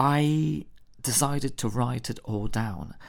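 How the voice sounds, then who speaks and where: Spoken in a Polish accent, the clip is a very clean recording with a silent background. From Poland. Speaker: podcast host and theatre maker. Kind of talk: solo storytelling podcast.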